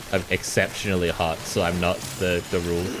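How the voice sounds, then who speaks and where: With an Australian accent, a man talks in a very deep, low voice over noticeable background noise. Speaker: gaming streamer. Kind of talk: casual chat.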